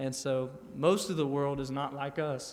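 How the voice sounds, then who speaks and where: In a Southern US accent, a man with a fairly high voice speaks in a flat monotone amid audible room echo. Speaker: missionary. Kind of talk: church testimony.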